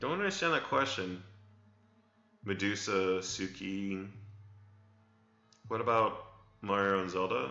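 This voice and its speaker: A man's fairly low voice, with long, frequent pauses and audible room echo. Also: ordinary pitch variation, fairly slow pace. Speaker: game studio CEO streaming Q&A. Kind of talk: live stream Q&A. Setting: live stream. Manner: hesitant with repetitions.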